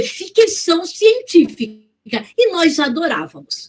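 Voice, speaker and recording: A woman with an extremely high pitch speaks at a very slow pace. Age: 60s. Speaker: motivational speaker. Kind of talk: talk.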